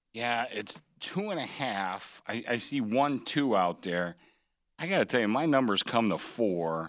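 Against a quiet background, a man with an ordinary speaking voice talks at a fairly slow pace with lively intonation. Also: medium pitch for a man. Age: 60s. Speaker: sportsbook director. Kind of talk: sports betting talk show.

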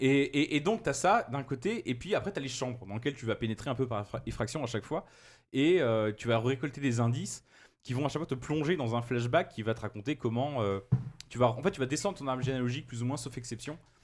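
A man with a plain, everyday voice talks at a fairly quick pace in a medium pitch with ordinary pitch variation, recorded very cleanly against a silent background. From France, Loire region. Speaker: games journalist. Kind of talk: casual chat.

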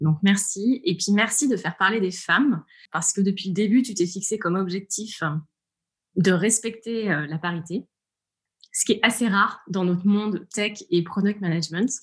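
The speaker is a woman talking at a medium speed. There's a slight breathiness to her voice. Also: medium pitch for a woman, ordinary pitch variation. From France, Orléans area (Loire countryside). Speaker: tech product executive. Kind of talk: interview.

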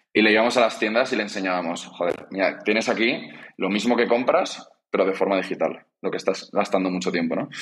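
A man at a fairly quick pace, fairly low in pitch with ordinary pitch variation. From Spain, Zaragoza. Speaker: startup co-founder. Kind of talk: interview. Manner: halting, frequent repetitions.

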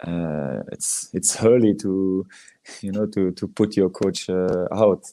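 A man with a Belgian French accent, a very deep, low pitch, a dark, mellow tone, fairly even intonation and a very slow pace. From Belgium, Liège. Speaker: former professional footballer. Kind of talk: interview. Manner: halting.

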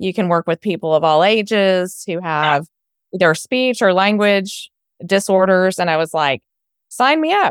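In an unremarkable speaking voice, a woman talks at a medium pitch with lively intonation. The sound is dry and close, with no echo. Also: fairly slow pace. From Texas, Houston. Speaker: software founder and former speech pathologist. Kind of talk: interview.

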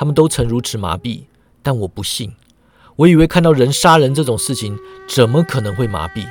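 Simple, plain reading aloud

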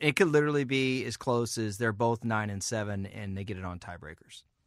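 A man's ordinary speaking voice at medium pitch and a fairly quick pace, in a very clean recording with a silent background. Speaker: football writer. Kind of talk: casual sports talk.

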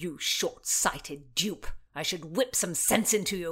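A woman's put-on character voice, fairly low with a slightly husky edge, slow in pace with ordinary pitch variation

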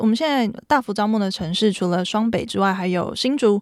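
On a very clean recording with a silent background, a woman with a Taiwanese accent talks at a fairly quick pace and medium pitch. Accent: Taiwanese Mandarin. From Taiwan, Taipei. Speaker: startup founder. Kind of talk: interview.

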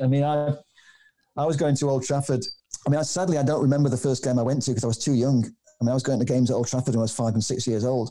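With a Manchester accent, a man talks at a very fast pace and medium pitch, his tone dark and mellow, his loudness very even and his intonation fairly even. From Manchester, England. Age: 60s. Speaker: documentary filmmaker. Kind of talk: casual interview. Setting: remote call.

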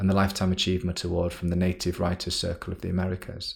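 A man's very deep, low, somewhat breathy voice, monotone and flat, at a very fast pace. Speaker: podcast host; science poetry podcast host, academic. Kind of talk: spoken word poetry, reading poems aloud.

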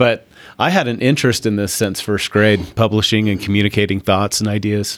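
A man with a plain, everyday voice and an American accent, fairly low in pitch, fairly quick, with fairly even intonation, on a very clean recording with a silent background. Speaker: magazine publisher. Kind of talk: casual interview.

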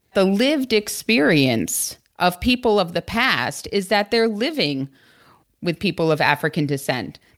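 A woman with a medium pitch speaks at a fairly slow pace with very wide pitch swings and very even loudness, in a very clean recording with a silent background. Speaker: historian and book co-editor. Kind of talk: educational podcast discussion.

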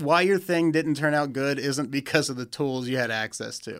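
An unremarkable speaking voice, this man's fairly high pitch moves with ordinary pitch variation at a moderate pace on a very clean recording with a silent background. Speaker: fan filmmaker. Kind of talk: casual chat.

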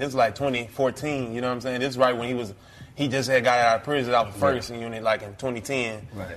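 Over noticeable background noise, a man with a medium pitch speaks at a very fast pace with fairly even intonation. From Texas, Fort Worth. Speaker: video blogger. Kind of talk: casual chat. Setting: studio.

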